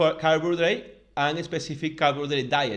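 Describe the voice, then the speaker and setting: A man with a non-native accent speaks at a fairly high pitch, with music playing in the background. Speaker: doctor and podcast co-host. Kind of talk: casual health podcast chat. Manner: halting.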